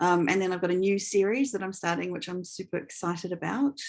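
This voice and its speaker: Against a quiet background, a woman with a New Zealand accent talks at a fairly quick pace and a medium pitch. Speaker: author. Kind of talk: interview.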